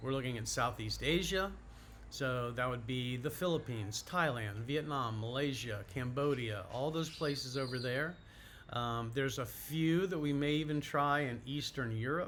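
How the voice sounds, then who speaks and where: A man's medium-pitched voice with an American accent, at a moderate pace with ordinary pitch variation, plus audible room echo. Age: 60s. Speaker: YouTuber on retirement and moving abroad. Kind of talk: casual vlog monologue. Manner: casual with frequent fillers.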